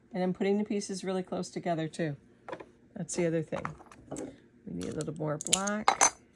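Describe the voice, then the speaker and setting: Woman's fairly quick speech with fairly even intonation and long, frequent pauses, over noticeable background noise. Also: medium pitch for a woman. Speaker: mosaic artist. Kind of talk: tutorial. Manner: hesitant, many fillers; quiet while cutting glass.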